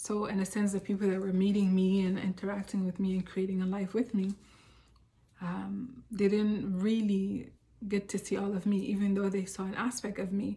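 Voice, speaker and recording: A woman's medium-pitched, somewhat breathy voice with monotone, flat intonation. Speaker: self-help vlogger. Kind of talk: personal reflective talk. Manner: fast; hesitant, many fillers.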